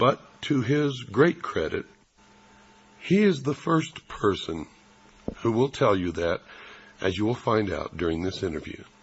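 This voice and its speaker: Pausing long and often, a man with an American accent speaks at a fairly slow pace with very wide pitch swings. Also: medium pitch for a man. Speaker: radio host. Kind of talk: radio interview.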